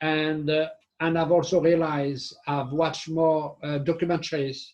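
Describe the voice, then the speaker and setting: At a moderate pace, the somewhat breathy voice holds a monotone, flat intonation. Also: man. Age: 60s. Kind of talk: casual discussion. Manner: halting.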